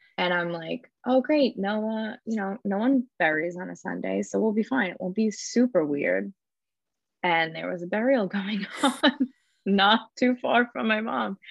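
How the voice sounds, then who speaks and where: A woman with an ordinary speaking voice talks at a fairly slow pace with lively intonation. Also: medium pitch for a woman. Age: 30s. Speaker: bereaved daughter, blogger. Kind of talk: interview.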